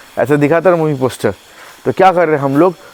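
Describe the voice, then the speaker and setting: A man speaks with lively intonation while noticeable background noise carries on behind him. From India. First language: Hindi. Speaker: boxing coach. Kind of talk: tutorial.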